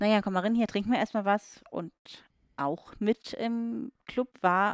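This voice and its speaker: A woman with a normal speaking voice talks fairly slowly at a medium pitch. Her pitch varies in an ordinary way. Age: 30s. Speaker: woman telling her story of a rare condition. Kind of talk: casual chat. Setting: sitting on a bed with wine.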